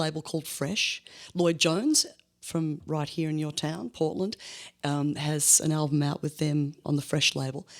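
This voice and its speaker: A woman with an Australian accent talks at a moderate pace in a very deep, low pitch. The recording is very clean, with a silent background. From Australia, Melbourne. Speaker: blues musician. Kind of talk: interview. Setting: studio.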